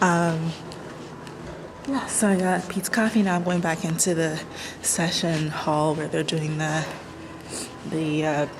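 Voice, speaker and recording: There is noticeable background noise and audible room echo. Through it, a woman talks at a fairly slow pace in a fairly low pitch. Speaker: vlogger, entrepreneur. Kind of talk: casual vlog. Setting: conference venue. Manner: speaking low.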